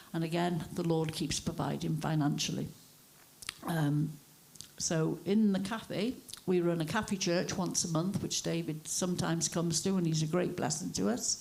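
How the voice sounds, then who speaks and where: With a North Welsh accent, a woman speaks at a fairly low pitch and a moderate pace. Her loudness stays very even, with ordinary pitch variation. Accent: north Wales English. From north Wales (Wrexham), born in Liverpool. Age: 60s. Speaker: cafe church owner. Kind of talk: testimony.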